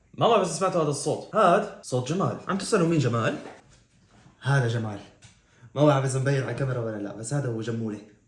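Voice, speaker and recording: Speech races along at a very fast pace with lively intonation and an animated tone. Audible room echo surrounds the voice. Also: man, medium pitch for a man. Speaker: YouTuber, music reaction creator. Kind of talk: casual vlog tutorial. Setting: home studio room.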